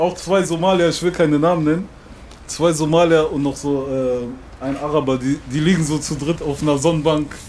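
A man talks at a moderate pace with fairly even intonation and a fairly high pitch. Light background noise sits behind him. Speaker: rapper; interviewee. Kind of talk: casual interview. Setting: outdoors. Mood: relaxed, casual. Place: street. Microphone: handheld.

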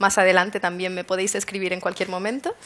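A woman talks with fairly even intonation. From Canary Islands, Spain. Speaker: wearable technology designer; conference speaker. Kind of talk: presentation talk. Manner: hesitant with fillers. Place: hall.

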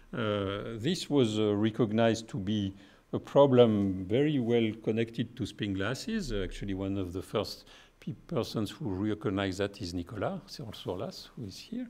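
A dark, mellow tone in a French accent, with ordinary pitch variation. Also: man, fairly low pitch for a man, moderate pace. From France. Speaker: physicist. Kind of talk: lecture. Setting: stage with audience. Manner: halting. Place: hall. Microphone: podium.

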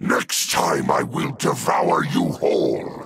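A man uses a raspy, put-on character voice. He speaks at a very slow pace. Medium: dub. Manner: menacing, sneering.

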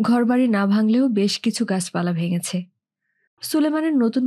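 Somewhat breathy, a woman speaks at a fairly high pitch with a dark, mellow tone. The background is quiet. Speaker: audiobook narrator. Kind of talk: novel reading.

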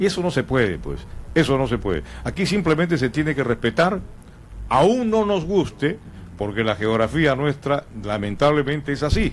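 A man with a fairly high pitch and an unremarkable speaking voice talks at a fairly quick pace. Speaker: sports radio host. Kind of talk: sports talk radio discussion.

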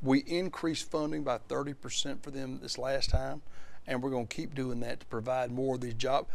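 A man with an Alabama accent speaks at a fairly high pitch and a moderate pace. The sound is dry with no echo, and his pitch varies in an ordinary way. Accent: Southern US (Alabama). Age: 40s. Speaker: state senator. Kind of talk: interview. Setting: studio. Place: studio. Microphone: lapel.

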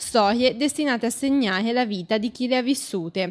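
High-pitched female speech with ordinary pitch variation, moving at a moderate pace. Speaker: news narrator. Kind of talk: newsreel-style scripted narration, solemn and mournful. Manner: formal; grave, measured, dramatic.

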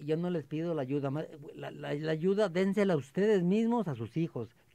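Over a quiet background, a man with a fairly high pitch and a dark, mellow tone speaks fairly slowly, his intonation lively. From Mexico, Aguascalientes. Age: 70s. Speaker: retired tree planting volunteer. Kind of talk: radio interview. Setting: radio studio.

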